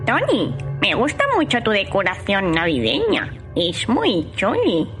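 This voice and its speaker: A female-sounding voice speaks in a put-on character voice at a fairly slow pace. Clear music plays in the background. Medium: audio drama. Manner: cheeky, meows while talking.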